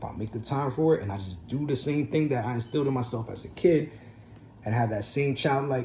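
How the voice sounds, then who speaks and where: A voice with a dark, mellow tone and a New Jersey accent talks at a fairly quick pace. It is somewhat breathy, with ordinary pitch variation. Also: man. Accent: New Jersey American English. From New Jersey, USA. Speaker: entrepreneur, record label owner. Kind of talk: casual talk to camera.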